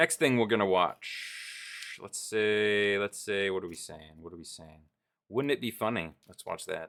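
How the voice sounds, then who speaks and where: On a very clean recording with a silent background, a man with a plain, everyday voice speaks at a fairly low pitch and a fairly slow pace, with ordinary pitch variation and big swings in loudness. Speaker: streamer. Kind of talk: casual chat. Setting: live stream.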